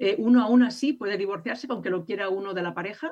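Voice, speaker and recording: A plain, everyday voice with lively intonation. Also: woman. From Spain. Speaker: legal aid lawyer. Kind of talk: radio interview.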